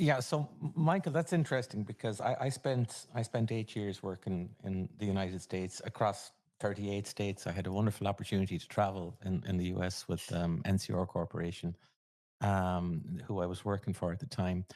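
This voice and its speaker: This man has an Irish accent and a fairly low pitch. He talks at a fairly quick pace with ordinary pitch variation. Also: very clean recording, silent background. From Ireland. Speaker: podcast host. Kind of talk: casual interview chat.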